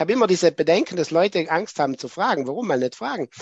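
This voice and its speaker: A man talks very fast, his pitch fairly high. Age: 40s. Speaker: chess arbiter. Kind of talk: lecture.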